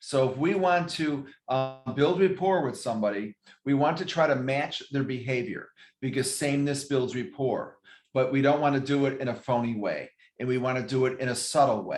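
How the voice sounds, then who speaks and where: Here is a man with a plain, everyday voice, fairly high in pitch. His pitch variation is ordinary and his pace moderate. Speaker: real estate regional manager. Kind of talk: training class. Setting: video call.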